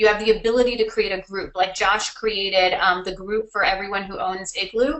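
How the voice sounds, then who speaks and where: In an unremarkable speaking voice, a woman talks at a fairly high pitch with ordinary pitch variation. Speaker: marketing consultant. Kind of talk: webinar presentation. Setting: online webinar.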